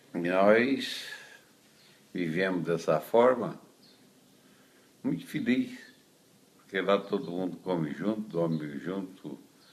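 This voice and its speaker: Very slow and broken by long, frequent pauses, a man's very deep, low voice carries ordinary pitch variation. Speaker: traditionalist rodeo lasso veteran. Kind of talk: interview.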